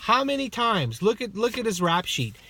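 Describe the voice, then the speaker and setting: Loud, bright and sharp male speech at a moderate pace with very wide pitch swings, on a very clean recording with a silent background. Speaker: hockey vlogger. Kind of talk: rant. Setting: in a car.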